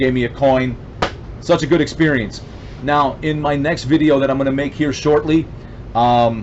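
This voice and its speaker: The speech moves at a moderate pace with fairly even intonation and long, frequent pauses. Noticeable background noise runs underneath. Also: man. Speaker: veteran YouTuber and small business owner. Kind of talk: casual vlog talk to camera. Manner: halting, stumbling over words.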